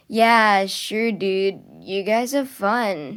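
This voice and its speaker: Putting on a drawling character voice, a woman speaks at medium pitch with ordinary pitch variation. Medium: read story. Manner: drawling, casual slang.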